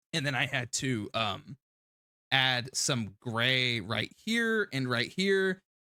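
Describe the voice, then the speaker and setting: A man's medium-pitched voice with a bright, sharp tone, in a very clean recording with a silent background and a dry, close sound with no echo. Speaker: streamer. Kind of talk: live stream commentary on video editing. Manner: fast.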